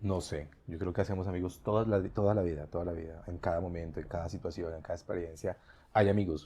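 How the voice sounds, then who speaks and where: The voice is somewhat breathy, with a dark, mellow tone. It moves at a very fast pace with hardly any pauses. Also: man, quiet background. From Colombia, Bogotá (born in Bucaramanga, moved at 5-6). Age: 40s. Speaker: teacher. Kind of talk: interview.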